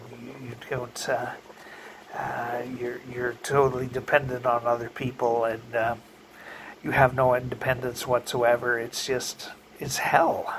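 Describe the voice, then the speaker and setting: Over light background noise, a man talks at a very slow pace in a monotone, flat intonation. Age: 50s. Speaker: vlogger. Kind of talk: casual monologue. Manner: halting. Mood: wry, joking about fears. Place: home room. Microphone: phone near.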